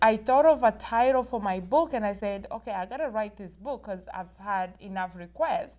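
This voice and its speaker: Speaking in a Rwandan accent, a woman with a fairly high pitch uses lively intonation at a fairly slow pace. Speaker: author and inspirational speaker. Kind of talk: interview.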